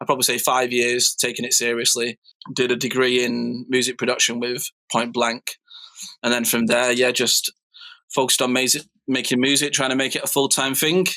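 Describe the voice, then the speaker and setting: A man with a Mancunian accent speaks at a fairly quick pace and a medium pitch, in a flat monotone. His tone is bright and sharp, and his loudness stays very even. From northern England, Manchester. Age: 30s. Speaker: DJ and music producer. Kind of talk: casual interview chat.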